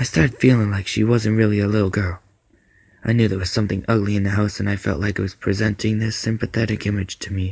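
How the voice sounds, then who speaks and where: Very fast and somewhat breathy, a man speaks at a fairly low pitch with monotone, flat intonation. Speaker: amateur story narrator. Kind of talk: horror story narration.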